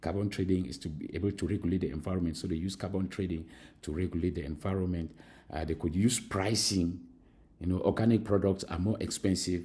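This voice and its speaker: Fairly quick and fairly even in intonation, a man's very deep, low voice comes across dark, mellow and somewhat breathy. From Cameroon. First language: Mankon. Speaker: university lecturer. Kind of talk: recorded lecture. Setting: recorded alone at school. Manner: halting, many fillers.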